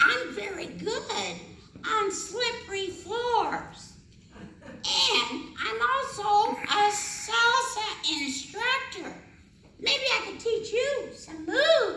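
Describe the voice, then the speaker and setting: An extremely high-pitched cartoonish character voice at a very slow pace, with slight echo. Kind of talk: comic overacting. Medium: puppet show. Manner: flirty, boastful.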